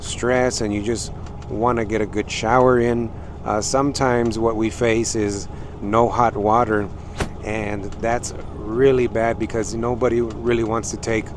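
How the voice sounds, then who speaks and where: Against noticeable background noise, a man talks at a fairly slow pace in a monotone, flat intonation, with a dry sound and no echo. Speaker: truck driver vlogger. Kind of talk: casual vlog chat. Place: car. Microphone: headset.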